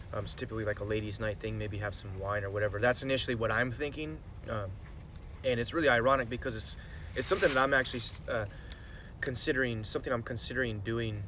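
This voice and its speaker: Over light background noise, a man speaks at a very fast pace with ordinary pitch variation. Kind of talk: casual vlog chat. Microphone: phone near.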